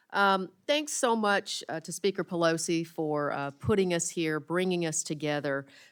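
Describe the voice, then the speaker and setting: In a Southern US accent, a woman talks at a moderate pace with a fairly low pitch and ordinary pitch variation. The recording is very clean, with a silent background. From rural Arkansas. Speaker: congresswoman. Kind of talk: committee hearing statement.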